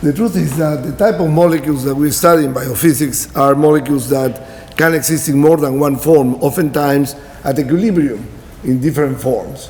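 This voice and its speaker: Against noticeable background noise and audible room echo, a man with a Spanish accent speaks at a fairly quick pace and a fairly high pitch. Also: ordinary pitch variation. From Peru. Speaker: professor. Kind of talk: lecture.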